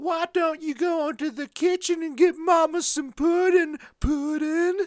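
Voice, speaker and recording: An extremely high, cartoonish character voice at a moderate pace. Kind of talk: animated cartoon character voice. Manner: sassy.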